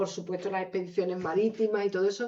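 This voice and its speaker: This woman speaks with an Andalusian accent. Her pitch sits in the medium range. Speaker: author. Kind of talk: book presentation talk. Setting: lecture hall with audience.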